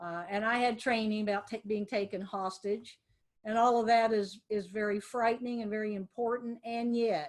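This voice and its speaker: A woman speaks with an American accent at a moderate pace. She has a plain, everyday voice with a fairly high pitch. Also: fairly even intonation. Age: 60s. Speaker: lawyer. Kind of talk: webinar presentation. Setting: video webinar from office.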